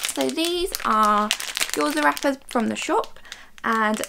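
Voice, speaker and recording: Noticeable background noise sits behind the speech. A woman speaks very slowly over it. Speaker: cooking vlogger. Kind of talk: casual vlog chat. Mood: light, self-amused. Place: kitchen. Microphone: camera far.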